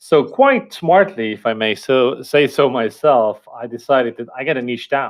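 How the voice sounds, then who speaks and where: In an Estonian accent, a man speaks at a medium pitch. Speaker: company founder and marketer. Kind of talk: interview podcast.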